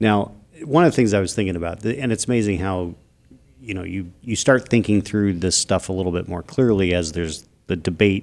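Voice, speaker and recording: An unremarkable speaking voice from a man, fairly low in pitch with ordinary pitch variation, at a fairly quick pace in a very clean recording with a silent background. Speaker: podcast co-host. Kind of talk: casual political talk show. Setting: studio.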